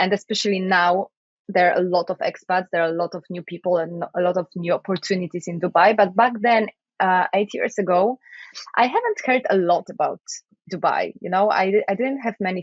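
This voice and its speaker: A woman speaks in a Polish accent at medium pitch. Her pace is moderate. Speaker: IT project manager and podcaster. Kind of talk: interview.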